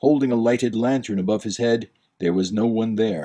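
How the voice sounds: With a quiet background, the natural reading voice shows ordinary pitch variation.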